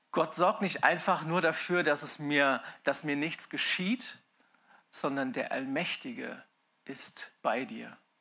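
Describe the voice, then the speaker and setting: Heard in a very clean recording with a silent background, a man speaks very slowly in a fairly high pitch, his tone bright and sharp and his intonation lively. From Germany, Mainz. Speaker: pastor. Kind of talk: sermon. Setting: church with live audience and livestream.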